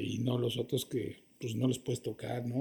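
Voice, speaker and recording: The voice is somewhat breathy and dark and mellow in tone, at a fairly slow pace. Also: man. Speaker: actor. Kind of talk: interview.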